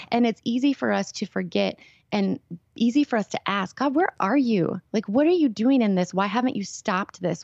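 Over a quiet background, a woman with a plain, everyday voice speaks at a medium pitch with ordinary pitch variation. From Minnesota. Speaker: worship leader and mentor. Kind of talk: interview, personal testimony. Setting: phone call.

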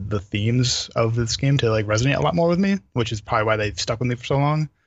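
A man's somewhat breathy, medium-pitched voice with ordinary pitch variation. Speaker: guest, gamer. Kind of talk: casual chat.

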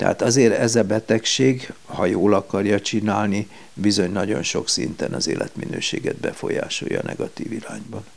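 A man with a fairly low pitch and ordinary pitch variation talks at a moderate pace with vocal fry and hardly any pauses. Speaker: paediatrician. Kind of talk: interview. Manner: hesitant, with fillers.

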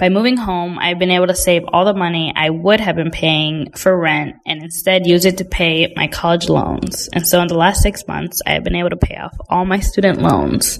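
With an American accent, a woman in an ordinary speaking voice keeps a moderate pace and fairly even intonation, with hardly any pauses. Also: fairly low pitch for a woman. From Indiana. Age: 20s. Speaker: recent graduate. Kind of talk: personal testimony.

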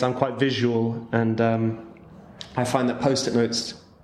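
With noticeable background noise and audible room echo, a man talks in a southern English accent. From southern England, Winchester. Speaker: interpreter and football commentator. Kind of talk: casual interview.

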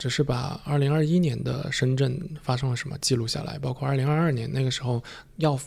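Fast and fairly even in intonation, a man's medium-pitched voice has vocal fry and a slightly mellow tone.

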